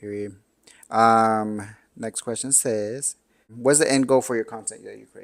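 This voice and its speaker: This man has an unremarkable speaking voice at a medium pitch, with fairly even intonation. He talks at a fairly slow pace, and his loudness swings widely. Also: very clean recording, silent background. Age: 30s. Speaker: podcast host. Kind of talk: casual interview chat.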